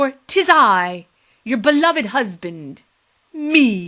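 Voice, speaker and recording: A female-sounding, put-on character voice sits high in pitch and swings very widely up and down. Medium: read story. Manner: archaic, theatrical.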